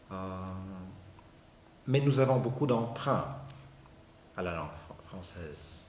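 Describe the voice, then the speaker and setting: Ordinary rises and falls in a man's speech, plus noticeable room echo. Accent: Bulgarian. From Bulgaria. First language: Bulgarian (speaking French). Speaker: university professor, sociolinguist. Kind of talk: interview. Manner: halting, frequent repetitions and hesitations.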